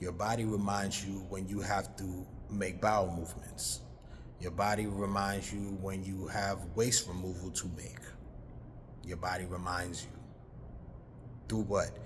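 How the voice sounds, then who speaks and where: Against audible room echo, a man speaks at a fairly slow pace with long, frequent pauses. His very deep, low voice shows vocal fry and ordinary pitch variation. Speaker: spiritual talk show host. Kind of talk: monologue on health and spirituality. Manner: slow, deliberate.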